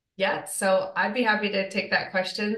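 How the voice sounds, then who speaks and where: With an American accent, a woman speaks in a bright, sharp tone, and room echo can be heard. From Michigan, US Midwest. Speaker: dietitian. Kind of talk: interview.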